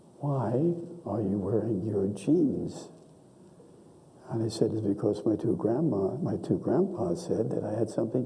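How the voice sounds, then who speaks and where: A medium-pitched man at a moderate pace, with audible room echo and noticeable background noise. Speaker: donor and benefactor. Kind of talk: speech at a ceremony. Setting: auditorium with audience.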